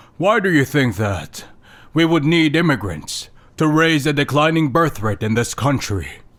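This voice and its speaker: A man puts on a character voice with fairly high pitch and lively intonation. His pace is moderate and his loudness very even. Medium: fan dub.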